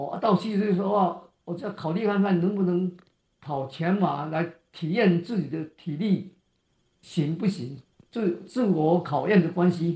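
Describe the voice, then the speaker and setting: Speaking very slowly, a man uses a high pitch, a dark, mellow tone and ordinary pitch variation. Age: 80s+. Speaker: marathon runner. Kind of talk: interview. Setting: video call. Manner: halting.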